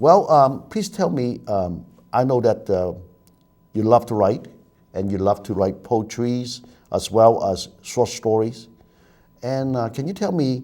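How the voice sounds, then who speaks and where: In a Chinese accent, a man with a dark, mellow tone speaks at a fairly slow pace and medium pitch, his intonation lively. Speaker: TV talk show host. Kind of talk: TV talk show interview.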